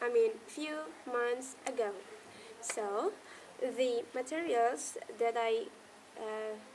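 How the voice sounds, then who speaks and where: Very slow, lively speech from a high-pitched woman, with long, frequent pauses and noticeable background noise. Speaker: university student. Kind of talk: class presentation to camera.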